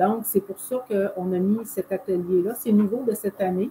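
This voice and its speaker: A woman speaks with a Quebec accent. Her pace is fairly slow. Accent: Québécois French. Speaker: holistic therapist. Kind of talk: casual explanation.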